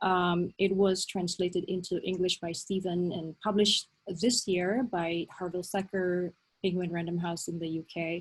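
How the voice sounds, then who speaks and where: A woman speaks at a fairly low pitch in a somewhat breathy voice. Her intonation is monotone and flat, with hardly any pauses. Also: moderate pace. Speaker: novelist and academic. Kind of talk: online seminar talk.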